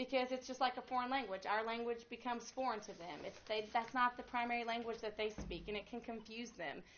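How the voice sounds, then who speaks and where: Her voice is fairly high, with ordinary pitch variation, at a moderate pace. The woman's speech carries audible room echo. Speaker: pastor's wife leading a marriage class. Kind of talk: church class teaching.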